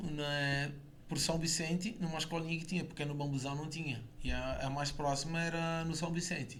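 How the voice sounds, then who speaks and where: Amid noticeable background noise and audible room echo, a man talks at a moderate pace and fairly high pitch. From southern Brazil, Itajaí, Santa Catarina. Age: 40s. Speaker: former footballer. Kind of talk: radio interview. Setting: radio studio.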